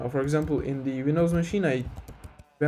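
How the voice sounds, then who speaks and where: A man with a fairly high pitch speaks in a Turkish accent. His intonation is fairly even. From Turkey. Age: 20s. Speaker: game developer streamer. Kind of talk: casual live stream chat. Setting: live stream. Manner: hesitant, many fillers.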